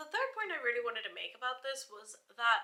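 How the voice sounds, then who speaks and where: Speaking at a fairly quick pace, a woman with a British accent uses a high pitch and very wide pitch swings. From India, then the UK. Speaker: lifestyle YouTuber. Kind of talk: casual vlog monologue. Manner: hesitant, many fillers.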